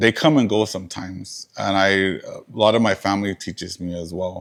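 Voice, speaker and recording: In a very clean recording with a silent background, a man with an American accent talks at a fairly quick pace in a fairly low voice, with ordinary pitch variation and big swings in loudness. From southern Arizona, Tohono O'odham Nation. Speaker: museum curator and lecturer. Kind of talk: lecture Q&A. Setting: museum lecture with audience. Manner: halting, many fillers.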